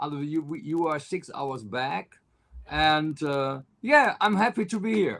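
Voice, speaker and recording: Speaking with a German accent, this voice moves at a fairly slow pace with lively intonation. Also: man, fairly high pitch for a man. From Germany (Cologne). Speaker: country singer. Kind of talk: interview. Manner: halting, many fillers.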